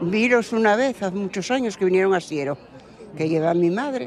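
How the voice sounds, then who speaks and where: A woman with an Asturian accent speaks at a medium pitch while crowd noise carries on behind her. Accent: rural Asturian Spanish with local dialect. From Asturias, Valdesoto. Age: 80s+. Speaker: local villager. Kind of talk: street interview.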